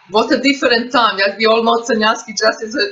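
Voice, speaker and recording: A woman's fairly high-pitched voice over noticeable background noise. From Serbia. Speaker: interviewer. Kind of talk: interview question.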